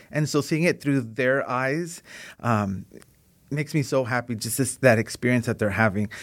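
A man with an American accent speaks in an unremarkable speaking voice at medium pitch and a moderate pace. His pitch varies in an ordinary way, on a very clean recording with a silent background. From Southern California, Long Beach. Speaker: school district project analyst. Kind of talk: interview.

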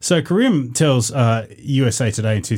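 A man's somewhat breathy voice shows ordinary variation in pitch. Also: very clean recording, silent background. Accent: Australian. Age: 40s. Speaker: podcast co-host. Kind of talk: casual chat.

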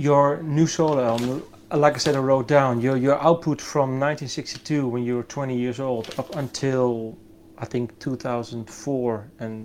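Using an ordinary speaking voice, a man talks at a fairly slow pace and medium pitch with fairly even intonation. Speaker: interviewer. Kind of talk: interview questions.

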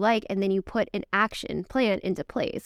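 Talking at a fairly quick pace, a woman comes through with a dry, close sound free of echo on a very clean recording with a silent background. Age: 20s. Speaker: fitness and nutrition coach. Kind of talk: casual interview chat.

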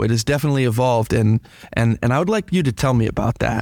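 This is a man with a normal speaking voice, medium in pitch and lively in intonation. The recording is very clean, with a silent background. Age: 40s. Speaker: teacher hosting school radio show. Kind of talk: casual interview. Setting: studio.

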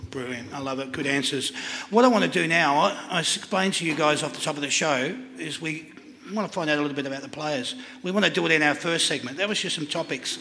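A man with an Australian accent talks at a very fast pace and a fairly high pitch, with audible room echo and noticeable background noise. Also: ordinary pitch variation. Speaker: live panel show host. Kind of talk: live panel show hosting. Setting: stage with live audience. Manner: animated.

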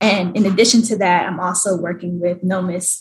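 In an American accent, a woman speaks at a medium pitch. Her voice is somewhat breathy, with ordinary pitch variation. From Atlanta, US South. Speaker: startup banker. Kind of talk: interview.

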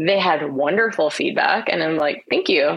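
A woman with a plain, everyday voice and an American accent speaks at a moderate pace, her fairly low pitch carrying lively intonation. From Florida, US. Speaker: ghostwriter and author. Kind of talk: casual interview chat.

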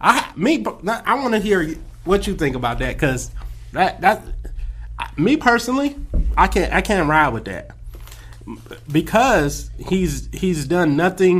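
A man with an American accent at a fairly slow pace, with long, frequent pauses. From California. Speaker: podcast co-host. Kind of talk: casual chat.

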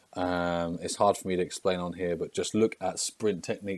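Recorded very cleanly against a silent background, a man speaks with an English accent. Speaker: strength and conditioning coach. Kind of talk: solo podcast monologue.

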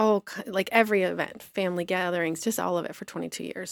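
Recorded very cleanly against a silent background, a woman with an American accent has an unremarkable speaking voice, a fairly low pitch and lively intonation. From US Midwest, southeastern Michigan small town. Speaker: blogger and publisher. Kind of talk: casual interview chat.

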